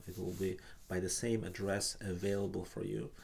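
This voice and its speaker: In a Russian accent, a man speaks fairly slowly with a very deep, low pitch and fairly even intonation. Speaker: painting teacher. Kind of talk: live online art class. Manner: halting.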